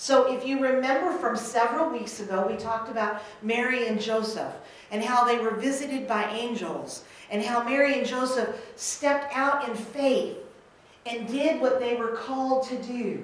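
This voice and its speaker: Loud and high-pitched, a woman speaks at a moderate pace with fairly even intonation, amid noticeable background noise and audible room echo. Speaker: minister. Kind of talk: sermon.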